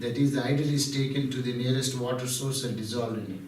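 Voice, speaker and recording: With audible room echo and noticeable background noise, a man in an Indian accent speaks at a fairly high pitch. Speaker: spiritual speaker. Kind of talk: devotional talk.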